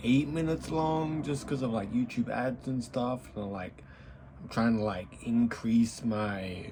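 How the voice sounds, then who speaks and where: A man with a medium pitch talks at a fairly slow pace, his voice somewhat breathy and his intonation lively. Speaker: tech YouTuber. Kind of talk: casual vlog to camera. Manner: halting, repeats words.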